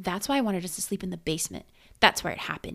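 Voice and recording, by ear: With lively intonation, the passage is read aloud in a natural voice.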